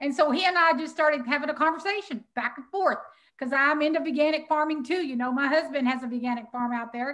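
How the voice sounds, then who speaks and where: A high-pitched woman with a Texas accent, very fast, with ordinary pitch variation. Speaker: animal sanctuary founder and summit co-host. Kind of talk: live stream promo. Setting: live video. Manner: animated.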